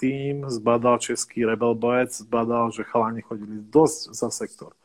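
A man has an unremarkable speaking voice at a medium pitch. He talks at a fairly slow pace. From southern central Slovakia, near Hungarian border. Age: 30s. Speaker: carp angler. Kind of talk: casual chat.

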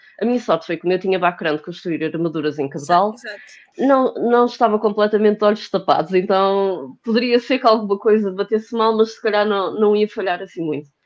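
Using a plain, everyday voice, a woman speaks at a fairly quick pace and a medium pitch, with ordinary pitch variation and hardly any pauses. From Portugal, Porto. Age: 30s. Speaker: cosplayer and fashion designer. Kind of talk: casual chat.

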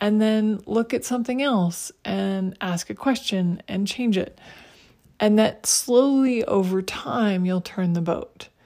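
The voice has a dark, mellow tone and a very slow pace, captured on a very clean recording with a silent background. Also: woman, medium pitch for a woman, ordinary pitch variation. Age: 50s. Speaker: podcast host. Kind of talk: solo podcast monologue.

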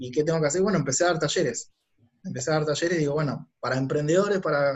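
With ordinary pitch variation and a fairly high pitch, the man has an unremarkable speaking voice. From Argentina, Buenos Aires west zone (Ituzaingó). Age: 30s. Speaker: entrepreneur and business consultant. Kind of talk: casual interview conversation.

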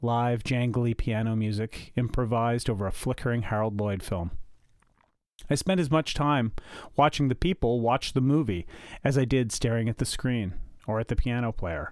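A man with a Canadian accent speaks at a moderate pace in a medium pitch, with ordinary pitch variation and an unremarkable speaking voice, on a very clean recording with a silent background. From Canada, Ottawa Valley, Ontario. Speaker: podcast host, film enthusiast. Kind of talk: scripted narration.

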